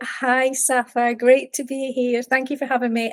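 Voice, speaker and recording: A woman with a Scottish accent speaks at a high pitch. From Scotland, Edinburgh. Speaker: mindset coach and meditation teacher. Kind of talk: podcast interview.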